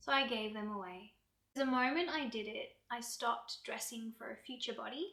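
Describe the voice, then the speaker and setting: Her voice is fairly high in pitch, with a bright, sharp tone and ordinary pitch variation. The woman keeps a calm tone. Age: 40s. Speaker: yoga and wellness creator. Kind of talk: personal vlog talk to camera. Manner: calm, reflective.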